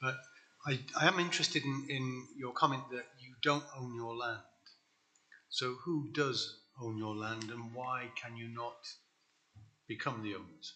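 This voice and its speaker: Over noticeable background noise, a man with a British accent speaks at medium pitch with fairly even intonation. His pace is fairly slow, with long, frequent pauses and big swings in loudness. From Britain. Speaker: councillor. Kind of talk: council meeting question. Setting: council meeting.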